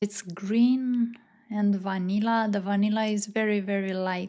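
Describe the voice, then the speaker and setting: On a very clean recording with a silent background, a woman with a non-native accent speaks at a fairly slow pace. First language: not English. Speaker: fragrance reviewer. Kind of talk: fragrance review monologue. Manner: slow, dreamy and evocative.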